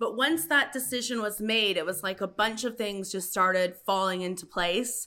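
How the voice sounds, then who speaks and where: Against a silent background on a very clean recording, a woman of medium pitch speaks at a moderate pace with hardly any pauses. Her tone is bright and sharp, with ordinary pitch variation. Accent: Canadian. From Canada, Paris (Ontario). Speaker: dance teacher and lip sync performer. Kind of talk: casual interview chat.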